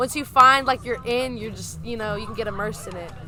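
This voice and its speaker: A woman talks at a very fast pace with a fairly high pitch. Her intonation is fairly even, and there is noticeable background noise. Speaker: punk band member. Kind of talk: interview answer.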